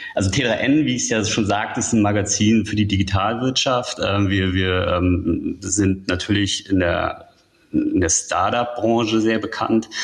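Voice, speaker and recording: Speaking at a fairly slow pace, a man with a fairly low pitch sounds somewhat breathy, with very even loudness and fairly even intonation. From northern Germany. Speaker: tech journalist. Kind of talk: interview.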